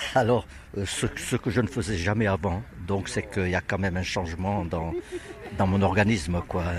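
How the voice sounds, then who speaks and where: Very deep and low, this man's voice moves at a moderate pace with ordinary pitch variation. Long, frequent pauses break up his speech over noticeable background noise. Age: 80s+. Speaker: workshop participant. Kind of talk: interview.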